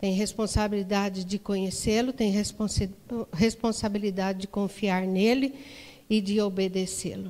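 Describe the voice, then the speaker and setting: A woman's dark, mellow tone in a flat, monotone delivery. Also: medium pitch for a woman, moderate pace. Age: 60s. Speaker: women's ministry leader. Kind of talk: sermon. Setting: church.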